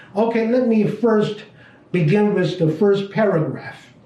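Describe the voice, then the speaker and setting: Audible room echo surrounds a man who speaks fairly slowly in a dark, mellow tone with ordinary pitch variation. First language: Chinese. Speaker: business teacher. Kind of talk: lecture. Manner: halting.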